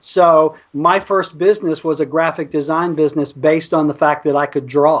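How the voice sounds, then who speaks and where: On a very clean recording with a silent background, a man with an Alabama accent speaks at a fairly high pitch with hardly any pauses, fairly even intonation and big swings in loudness. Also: moderate pace. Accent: Southern US (Alabama). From US South, North Alabama. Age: 50s. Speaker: internet marketer and entrepreneur. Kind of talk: interview.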